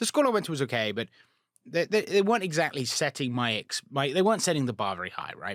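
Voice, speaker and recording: In a British accent, a man speaks at a fairly quick pace with an animated tone and very wide pitch swings, captured in a very clean recording with a silent background and a dry, close sound with no echo. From England. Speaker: rocket scientist. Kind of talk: casual interview chat.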